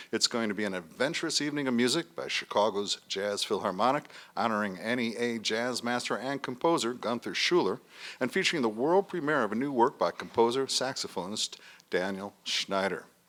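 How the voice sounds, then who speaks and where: A man with an ordinary speaking voice, talking at a fairly quick pace with lively intonation. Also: medium pitch for a man. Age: 60s. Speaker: radio host. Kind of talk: radio panel discussion.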